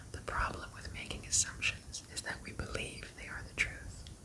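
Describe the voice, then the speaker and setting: Whispering in a soothing tone, a woman speaks at a fairly slow pace over noticeable background noise. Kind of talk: ASMR book reading. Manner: whispered; soft-spoken, soothing.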